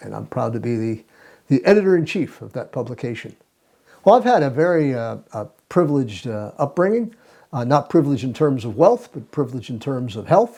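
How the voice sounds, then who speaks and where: The man's tone is dark and mellow, and his loudness swings widely. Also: medium pitch for a man, lively intonation, fairly quick pace. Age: 70s. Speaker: health association president. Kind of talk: interview. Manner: halting, many fillers.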